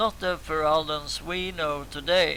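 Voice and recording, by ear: Fairly slow and raspy, a man speaks at a fairly high pitch. His intonation stays fairly even.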